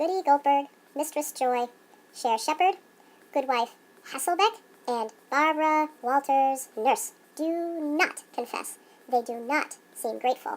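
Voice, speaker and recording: A put-on character voice, female-sounding and high-pitched, broken by long, frequent pauses. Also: moderate pace. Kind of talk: mock-archaic Puritan speech. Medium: comedy sketch. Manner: formal, solemn.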